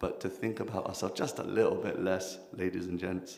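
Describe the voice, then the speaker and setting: A man in a London accent, with audible room echo. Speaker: kirtan leader and spiritual speaker. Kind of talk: workshop talk. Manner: animated.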